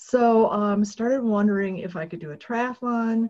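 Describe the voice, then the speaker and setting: Her words come at a moderate pace. The woman's voice has a somewhat breathy sound. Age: 60s. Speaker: author and triathlete. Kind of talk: presentation.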